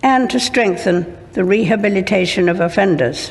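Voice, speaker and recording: A woman's medium-pitched voice with vocal fry, at a moderate pace. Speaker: monarch. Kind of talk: formal speech to parliament. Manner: measured, formal.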